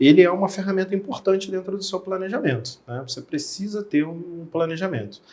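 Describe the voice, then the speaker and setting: A man with a Rio de Janeiro accent talks at a fairly quick pace in a high voice, with hardly any pauses. His pitch variation is ordinary, while his loudness swings a lot. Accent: carioca. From Rio de Janeiro, Brazil. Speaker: insurance specialist. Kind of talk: podcast interview. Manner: casual, conversational.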